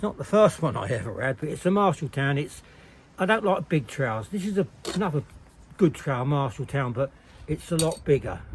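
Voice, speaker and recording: Somewhat breathy and at a fairly quick pace, the voice makes very wide pitch swings and big swings in loudness. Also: man, fairly high pitch for a man. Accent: English. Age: 70s. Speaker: bricklayer. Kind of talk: tutorial.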